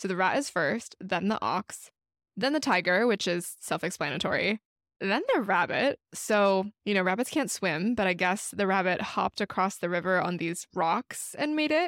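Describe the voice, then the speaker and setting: A woman's ordinary speaking voice at medium pitch, lively intonation, dry and close with no echo. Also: moderate pace, very even loudness, very clean recording, silent background. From United States, Chinese American family. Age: 30s. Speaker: podcast co-host. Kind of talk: casual chat.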